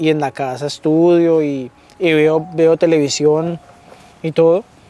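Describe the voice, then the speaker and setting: There is noticeable background noise as a man speaks with a slight Cali Colombian accent. His voice is fairly high-pitched with ordinary pitch variation. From Colombia, Cali. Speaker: immigrant interviewee, funeral home worker. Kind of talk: casual interview chat.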